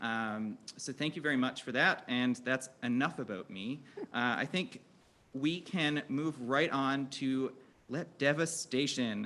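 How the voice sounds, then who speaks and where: In a very clean recording with a silent background, a man with a Newfoundland accent speaks at a medium pitch in a bright, sharp tone with ordinary pitch variation. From Newfoundland, Canada. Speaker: health educator, panel moderator. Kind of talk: panel discussion moderation. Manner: fast; animated.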